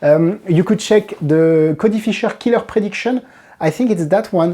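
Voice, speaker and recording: With a French accent, a woman talks at a moderate pace in a fairly low, dark and mellow voice with lively intonation. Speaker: magic trick reviewer. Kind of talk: product review. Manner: halting.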